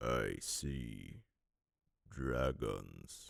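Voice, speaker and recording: A man's put-on character voice at a very deep, low pitch. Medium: read story.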